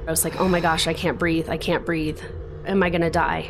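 With noticeable background noise and audible room echo, the speaker moves at a fairly quick pace in a monotone, flat intonation. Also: woman. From Colorado, US. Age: 30s. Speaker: podcast host, shooting survivor. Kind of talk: personal testimony.

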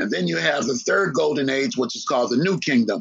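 With an American accent, a man speaks at a fairly high pitch, using lively intonation and some vocal fry. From United States. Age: 60s. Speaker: historian. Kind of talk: interview.

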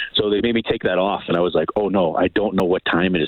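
Noticeable background noise sits behind a man with an American accent. His fairly low voice keeps a fairly even intonation. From US, New York City area. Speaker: culinary instructor and chocolate business owner. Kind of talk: casual interview. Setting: phone call.

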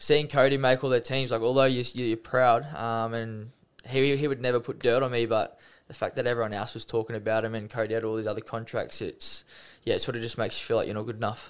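A man with an Australian accent and a medium pitch speaks at a very fast pace with monotone, flat intonation on a very clean recording with a silent background. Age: 20s. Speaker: professional rugby league player. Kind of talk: interview, personal testimony. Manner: casual, with frequent fillers.

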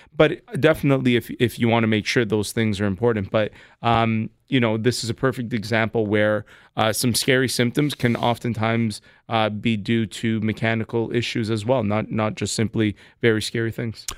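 Here is a normal speaking voice. It moves at a moderate pace with fairly even intonation. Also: man, medium pitch for a man. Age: 30s. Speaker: chiropractor and radio show host. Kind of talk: radio call-in advice show.

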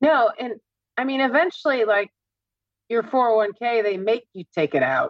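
Using an ordinary speaking voice, a woman talks at a moderate pace with a fairly high pitch and lively intonation. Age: 50s. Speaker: office worker about to retire. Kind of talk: couples money coaching conversation.

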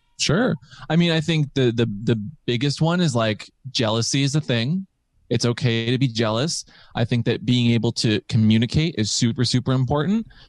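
Here is a man with an ordinary speaking voice, a medium pitch and ordinary pitch variation at a moderate pace. His loudness stays very even, the sound dry and close with no echo and the background quiet. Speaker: podcaster.

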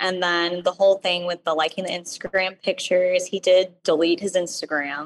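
At a moderate pace, a woman talks with a medium pitch and an ordinary speaking voice. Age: 20s. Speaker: caller. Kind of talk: advice call.

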